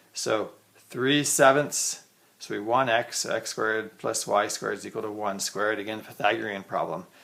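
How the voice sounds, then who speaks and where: A man's bright, sharp tone at a fairly low pitch, with vocal fry, fairly even intonation, and a moderate pace. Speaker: math teacher. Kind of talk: tutorial. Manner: casual, thinking aloud.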